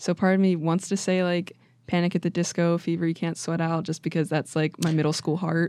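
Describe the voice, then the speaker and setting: A woman with an American accent speaks in a fairly low, dark, mellow voice, with a monotone, flat intonation and very even loudness. The recording is very clean, with a silent background. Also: fairly quick pace. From West Virginia (Wheeling). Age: 20s. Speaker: college student, photographer. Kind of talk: casual chat.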